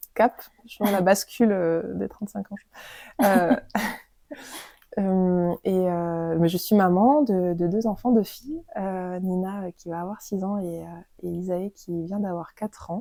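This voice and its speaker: Speaking at a very slow pace with long, frequent pauses, a woman has a dark, mellow tone. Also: medium pitch for a woman, ordinary pitch variation, big swings in loudness. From Dordogne, southwestern France. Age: 30s. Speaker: doula. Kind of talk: interview. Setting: at home. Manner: halting, many fillers and repetitions.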